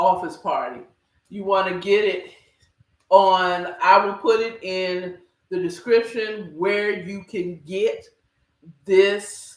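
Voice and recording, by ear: A woman speaks slowly with ordinary pitch variation, and room echo is audible. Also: medium pitch for a woman.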